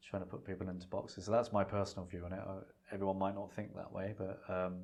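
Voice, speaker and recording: The speaker talks at a very fast pace in a London accent, with monotone, flat intonation. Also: man, very deep, low pitch for a man. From London, England. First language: Punjabi. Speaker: cooking teacher. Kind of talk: podcast interview. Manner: halting.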